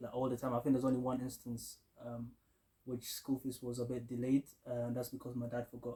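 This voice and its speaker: A man with a medium pitch and dark, mellow tone talks at a very fast pace. His intonation is monotone and flat, and his voice is somewhat breathy. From Kenya (Eldoret) until age 10-11, then London. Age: 20s. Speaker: aerospace engineer, recent graduate. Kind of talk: interview.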